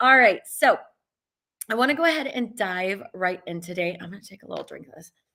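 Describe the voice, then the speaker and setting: A woman talks at a fairly quick pace in an animated tone, her pitch swinging very widely and her loudness rising and falling sharply. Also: fairly high pitch for a woman. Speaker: business coach for studio owners. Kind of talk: live stream talk. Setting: live stream.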